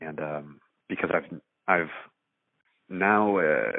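A man speaks with an American accent. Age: 30s. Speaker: rock band vocalist. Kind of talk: casual interview conversation. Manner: halting, many fillers and repetitions.

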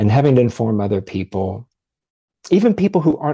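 Over a quiet background, a man with an American accent talks at a very fast pace, his tone dark and mellow and somewhat breathy. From Ohio, US Midwest. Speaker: podcast guest sharing DNA discovery story. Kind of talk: personal testimony in interview.

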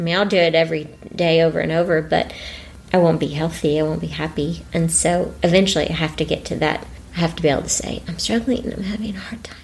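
Over noticeable background noise, a woman talks at a very fast pace. Her fairly low pitch shows ordinary pitch variation. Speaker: bereaved mother and teacher. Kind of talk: emotional interview testimony.

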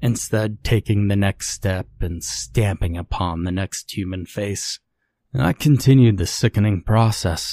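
With a somewhat breathy quality, a man talks in a fairly low register, his pitch moving in a usual way. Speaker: creepypasta narrator. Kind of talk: dramatic first-person horror story narration, confessional and grim. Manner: slow, brooding delivery lingering on gory detail; solemn, guilt-laden storytelling tone.

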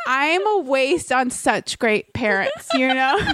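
A woman speaks with a high pitch. Noticeable background noise runs behind her. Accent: American. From Florida, US. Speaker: improviser and comedic writer. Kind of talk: casual chat.

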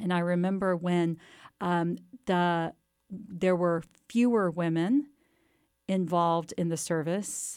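Very slowly, with long, frequent pauses, a woman speaks at a fairly low pitch with fairly even intonation and very even loudness, on a very clean recording with a silent background. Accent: American. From Texas, near Waco. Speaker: history professor and author. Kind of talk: interview.

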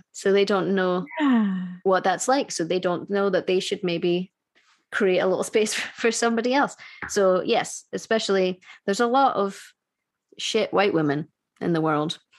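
With a Scottish accent, a woman speaks at a medium pitch and very even loudness. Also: ordinary pitch variation, moderate pace. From Scotland. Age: 30s. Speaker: musician. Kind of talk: casual chat. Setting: video call.

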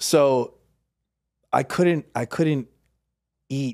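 On a very clean recording with a silent background, a man with a New York accent sounds dry and close with no echo. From Queens, New York City. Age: 30s. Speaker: podcast host, guest. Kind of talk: casual chat.

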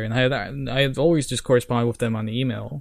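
A man's medium-pitched voice with a Norwegian accent. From Norway. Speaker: video game music historian. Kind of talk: casual chat.

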